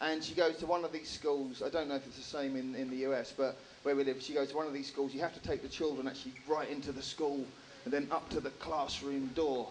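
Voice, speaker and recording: Talking at a very fast pace in a strong English accent, a man with a fairly high pitch uses monotone, flat intonation amid noticeable background noise and audible room echo. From England. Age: 30s. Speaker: stand-up comedian. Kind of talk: stand-up. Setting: stage with audience.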